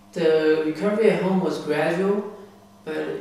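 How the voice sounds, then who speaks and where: There is strong room echo and light background noise as a man speaks. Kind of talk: interview answer. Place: home room. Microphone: camera far.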